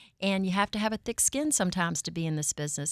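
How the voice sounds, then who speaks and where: A woman with a Southern US accent speaks at a very fast pace, her medium pitch showing ordinary variation. The recording is very clean, with a silent background and a dry, close sound with no echo. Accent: Southern twang. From Virginia, Richmond. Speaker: mortgage loan officer. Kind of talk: interview.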